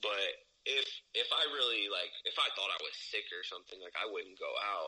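Talking at a fairly quick pace with a Midwestern US accent, a man comes through over noticeable background noise. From Ohio, US Midwest. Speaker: rapper. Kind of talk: casual interview chat. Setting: video or phone call. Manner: casual, profane, laughs often.

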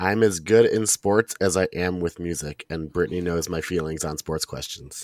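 A man with an American accent and a very deep, low pitch, ordinary pitch variation, a moderate pace with hardly any pauses, in a dry, close sound with no echo. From Plainfield, Illinois. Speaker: trivia contestant.

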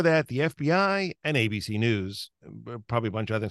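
Speaking in a normal speaking voice with an American accent, a man uses medium pitch, lively intonation and a fairly quick pace in a dry, close sound with no echo against a quiet background. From New York, Long Island. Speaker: podcast host. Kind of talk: casual interview chat. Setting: video call.

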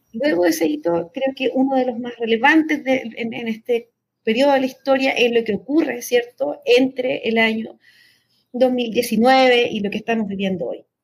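This woman's voice sits high in pitch, with ordinary pitch variation. She speaks at a moderate pace. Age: young. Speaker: political scientist. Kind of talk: interview.

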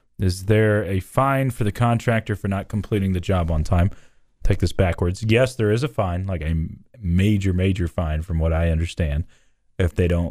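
Very deep, low male voice with a dark, mellow tone, ordinary pitch variation and a moderate pace, on a very clean recording with a silent background. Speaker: radio host. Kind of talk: radio dj patter, upbeat morning sports-radio banter with show plugs and teases. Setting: radio studio.

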